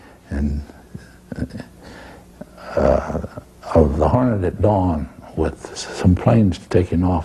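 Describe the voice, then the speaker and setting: A man with a very deep, low pitch speaks at a very slow pace, his intonation lively, over noticeable background noise. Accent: American. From Texas. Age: 80s+. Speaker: painter and war artist. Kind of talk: interview answer.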